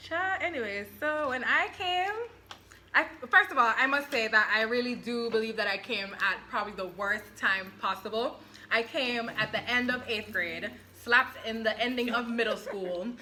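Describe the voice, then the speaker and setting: An animated tone and lively intonation come through over noticeable background noise. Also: woman, fairly high pitch for a woman, moderate pace. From Jamaica. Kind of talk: casual chat.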